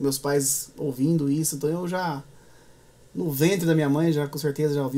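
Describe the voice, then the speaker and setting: The man has a fairly high pitch. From interior of São Paulo state, Brazil (Echaporã/Marília); São Paulo state, Brazil. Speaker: musician, viola player and composer; guest. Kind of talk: interview conversation. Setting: studio. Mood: relaxed, warm storytelling. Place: studio.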